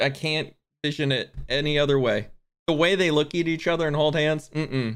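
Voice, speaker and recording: Fairly high for a man, this unremarkable speaking voice moves at a fairly quick pace with fairly even intonation and very even loudness. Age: 20s. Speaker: podcast co-host. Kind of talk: casual chat.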